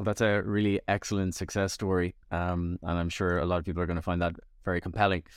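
In a Dublin accent, a man talks at a fairly quick pace on a very clean recording with a silent background and a dry, close sound with no echo. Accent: Irish (Dublin). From Ireland (Dublin). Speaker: podcast host. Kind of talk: interview.

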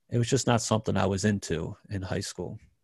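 In a very clean recording with a silent background and a dry, close sound with no echo, a man with an American accent speaks at a moderate pace, his fairly low, somewhat breathy voice held to fairly even intonation. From Maryland, US. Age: 30s. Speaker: professional pool player. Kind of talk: interview.

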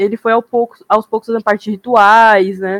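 A woman's fairly high voice comes through with monotone, flat intonation, dry and close with no echo. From Japan (childhood), then Brazil. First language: Japanese (speaking Portuguese). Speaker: podcast guest. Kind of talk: casual chat.

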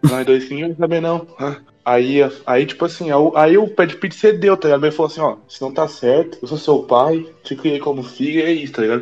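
Speech moves at a fairly quick pace with ordinary pitch variation. Music sits in the background. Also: man, fairly high pitch for a man. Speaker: podcast host. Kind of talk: casual chat; ad read. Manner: animated.

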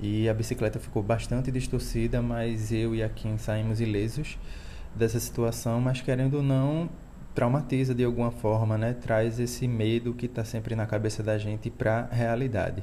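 A man's medium-pitched, flat monotone at a moderate pace, with audible room echo. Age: 30s. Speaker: cyclist father. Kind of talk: recorded testimony.

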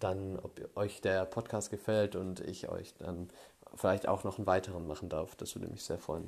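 A man's fairly low voice in a flat monotone at a fairly slow pace, in a very clean recording with a silent background. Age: 20s. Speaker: podcaster sharing personal story. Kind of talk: personal monologue. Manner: hesitant, many filler sounds.

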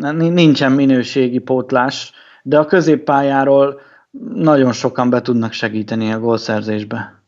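A man speaks in a normal speaking voice at a medium pitch with ordinary pitch variation. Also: fairly slow pace. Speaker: sports betting podcast host. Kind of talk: casual chat.

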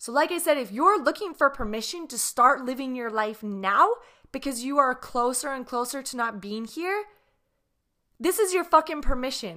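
On a very clean recording with a silent background, a woman speaks at a moderate pace in a raised, projected, high voice with a bright, sharp tone, lively intonation and big swings in loudness. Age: 30s. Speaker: podcast host. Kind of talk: solo reflective monologue.

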